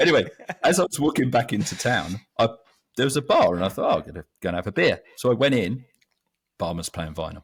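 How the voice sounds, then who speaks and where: Speaking very fast with an English accent, a man with a medium pitch and vocal fry swings his pitch very widely. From London, England. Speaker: magazine co-founder. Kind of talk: casual chat.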